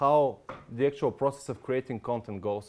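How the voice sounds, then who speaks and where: A man with a non-native accent, medium pitch and ordinary pitch variation, on a very clean recording with a silent background. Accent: foreign. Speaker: software consultant presenter. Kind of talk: product presentation. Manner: fast.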